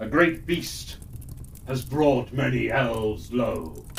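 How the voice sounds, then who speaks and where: A man uses a put-on character voice at medium pitch and a very slow pace. Clear background noise runs beneath him. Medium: read story. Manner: stately, regal rhyming speech.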